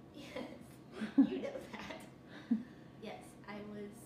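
A woman talks at a very slow pace. The room echo is audible, and there is noticeable background noise. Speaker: person telling her own story. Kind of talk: interview answer. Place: home room. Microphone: camera far.

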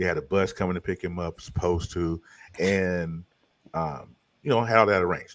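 A man speaks at a moderate pace in a very deep, low pitch with ordinary pitch variation. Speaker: podcast co-host. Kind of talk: casual podcast storytelling. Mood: annoyed, joking. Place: home room. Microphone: studio mic.

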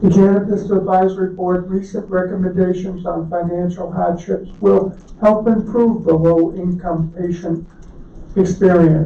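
This man's high-pitched voice moves at a fairly slow pace with monotone, flat intonation. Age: 60s. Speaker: retired medical marijuana patient. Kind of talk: public testimony.

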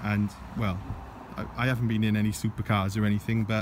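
The speech moves at a moderate pace with fairly even intonation. Noticeable background noise runs underneath. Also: man. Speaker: car owner vlogger. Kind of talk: casual vlog chat. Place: open country. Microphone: phone near.

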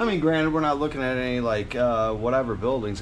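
With light background noise, a man talks using ordinary pitch variation. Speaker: travel vlogger. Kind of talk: casual vlog chat. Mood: jokey, relaxed. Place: street. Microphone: phone near.

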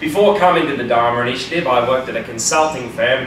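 A man is speaking. Audible room echo and light background noise surround his voice. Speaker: presenter. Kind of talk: humorous presentation talk. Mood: playful, joking. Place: classroom. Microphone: camera far.

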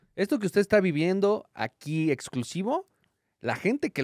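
With a Mexican accent, the pitch swings very widely at a moderate pace. The sound is dry and close, with no echo. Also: man. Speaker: comedian. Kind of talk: casual chat. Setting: live show with audience.

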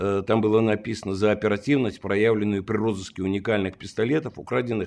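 A man's fairly low voice, a plain, everyday voice, moves with fairly even intonation. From Russia, Saint Petersburg; Russia. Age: 60s. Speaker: lawyer and former police detective; lawyer. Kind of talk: interview. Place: home room.

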